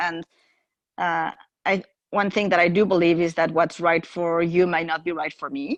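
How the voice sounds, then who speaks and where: Speaking with a Spanish accent at a moderate pace, a woman with a fairly low pitch and ordinary pitch variation leaves long, frequent pauses against a quiet background. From Mexico. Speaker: podcast guest. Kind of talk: casual chat.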